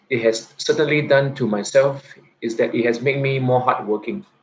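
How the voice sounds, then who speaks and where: A man is speaking. His voice is somewhat breathy. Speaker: teacher. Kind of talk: live-stream monologue. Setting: YouTube live stream. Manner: halting, many fillers and repetitions.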